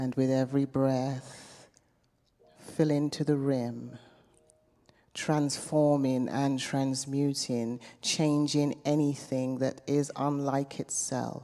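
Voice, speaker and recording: Against a quiet background, a woman speaks at a very slow pace with a very deep, low pitch. Her tone is dark and mellow, her intonation monotone and flat. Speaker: meditation guide; minister. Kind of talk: guided meditation. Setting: chapel. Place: church. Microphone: handheld.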